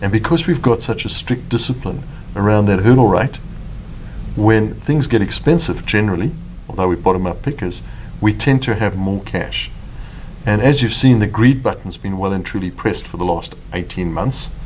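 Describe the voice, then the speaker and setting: A man speaks with a South African accent in a fairly low pitch. His pitch varies in an ordinary way, and background noise is noticeable. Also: moderate pace. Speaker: fund manager. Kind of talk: interview.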